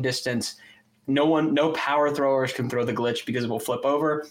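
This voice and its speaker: A plain, everyday voice from a man, fairly high in pitch, with fairly even intonation. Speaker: podcast co-host and disc golfer. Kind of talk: casual chat.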